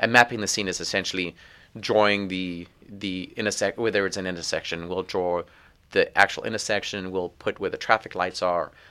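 A man at a fairly quick pace and fairly low pitch, with a bright, sharp tone and monotone, flat intonation, in a very clean recording with a silent background. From South Africa. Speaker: police traffic officer. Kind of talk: casual interview.

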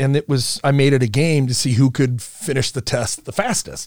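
In an American accent, a man speaks at a moderate pace with a medium pitch. He has an ordinary speaking voice. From US Midwest, Omaha, Nebraska. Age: 50s. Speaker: business founder. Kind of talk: casual interview.

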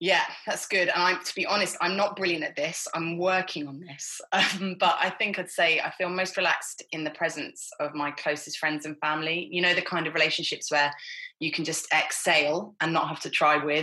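Over noticeable background noise, a woman talks at a fairly quick pace in a fairly low pitch. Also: fairly even intonation. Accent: southern English. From Hertfordshire, England. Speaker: missionary, former advertising executive. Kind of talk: casual interview.

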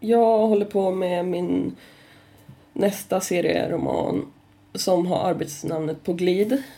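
Vocal fry marks a woman's fairly low voice, dark and mellow in tone, with ordinary pitch variation at a very slow pace. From northern Sweden (Kramfors, Ångermanland). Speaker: comic artist. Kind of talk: casual chat.

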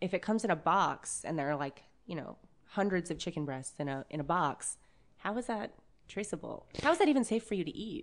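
A woman with an unremarkable speaking voice talks at medium pitch and a fairly quick pace, with lively intonation over a quiet background. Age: 30s. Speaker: butcher. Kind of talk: casual chat.

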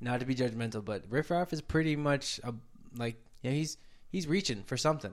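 A man with a normal speaking voice, ordinary pitch variation and a fairly quick pace. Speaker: podcast host. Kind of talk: casual chat.

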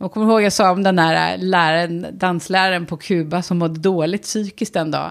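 A woman speaks with a plain, everyday voice at a moderate pace. Her pitch is fairly low, with ordinary pitch variation. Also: very clean recording, silent background. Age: 40s. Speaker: podcast co-host. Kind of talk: casual chat.

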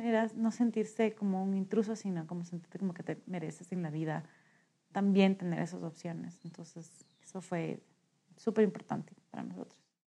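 A woman speaks in a dark, mellow tone. Her loudness swings widely. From Ecuador, Quito. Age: 30s. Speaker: social entrepreneur. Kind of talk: interview storytelling. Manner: hesitant with frequent fillers.

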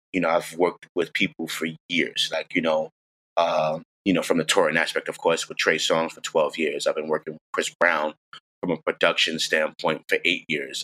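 The sound is dry and close, with no echo. A man with a New York accent speaks at a moderate pace, with big swings in loudness. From New York, the Bronx. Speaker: music producer. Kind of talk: interview.

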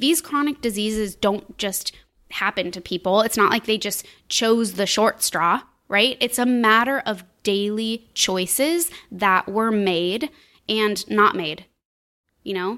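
A woman's plain, everyday voice, fairly high in pitch with ordinary pitch variation, on a very clean recording with a silent background. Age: 30s. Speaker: podcast host, business coach and wellness mentor. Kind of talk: solo podcast monologue. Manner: casual, upbeat.

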